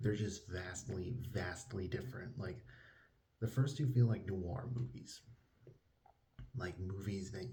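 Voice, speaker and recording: A man speaks at a fairly low pitch in a dark, mellow tone, somewhat breathy, with ordinary pitch variation. His fairly slow delivery carries audible room echo. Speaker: book reviewer. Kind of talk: casual vlog-style book review. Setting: at a relative's house, indoors. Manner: quiet, trying not to wake others; animated, enthusiastic.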